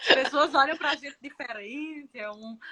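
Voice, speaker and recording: A woman talks fairly slowly in a northeastern Brazilian accent. Her pitch varies in an ordinary way. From Northeast Brazil. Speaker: nurse and former lecturer. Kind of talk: casual chat.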